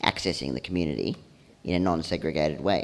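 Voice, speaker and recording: Talking with an Australian accent, a man has a very deep, low pitch with ordinary variation. His pace is fairly quick, and vocal fry comes through. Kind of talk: presentation to audience. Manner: fast.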